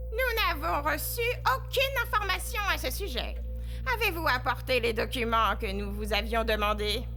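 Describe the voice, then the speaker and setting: Over clear background music, a shrill put-on character voice speaks at a moderate pace. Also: woman. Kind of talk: formal courtroom speech. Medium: audio drama. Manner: dry, cutting, authoritative.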